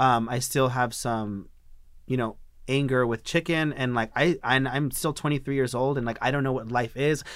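This is a very clean recording with a silent background. A man with a medium pitch speaks at a moderate pace with fairly even intonation. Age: 20s. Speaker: guest sharing HIV diagnosis story. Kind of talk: testimony. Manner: casual, halting with fillers.

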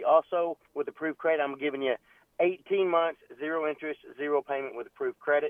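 This voice has an American accent. The pace is fairly quick. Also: man. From Texas. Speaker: window company representative. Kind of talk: casual chat. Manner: animated.

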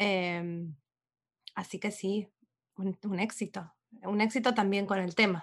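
A woman speaks at a very slow pace with long, frequent pauses. Her pitch is medium and her intonation is flat and monotone. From Argentina. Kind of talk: casual literary discussion.

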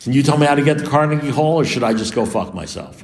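A man with a New York accent, a fairly high pitch, and a very fast pace, in audible room echo. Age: 70s. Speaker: recovering alcoholic speaker. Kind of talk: recovery meeting talk. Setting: meeting with audience.

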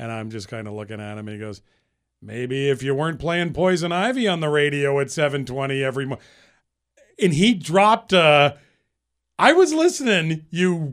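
Very wide pitch swings mark this moderate-paced delivery in an American accent, captured in a very clean recording with a silent background. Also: man, big swings in loudness. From Central Massachusetts. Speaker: morning radio show host. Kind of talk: casual interview chat.

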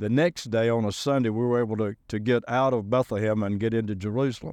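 A man with a Southern US accent at a moderate pace, in a dry, close sound with no echo and a quiet background. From Alabama, US South.

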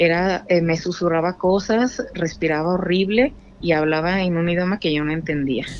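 A woman's plain, everyday voice, fairly low in pitch, at a fairly slow pace with fairly even intonation. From Guadalajara, Mexico. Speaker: caller. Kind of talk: storytelling. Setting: phone call.

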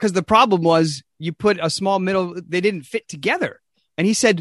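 Against a quiet background, the speaker has a natural reading voice.

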